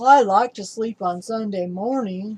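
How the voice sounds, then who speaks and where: A woman's put-on character voice at a medium pitch and a moderate pace. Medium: read story.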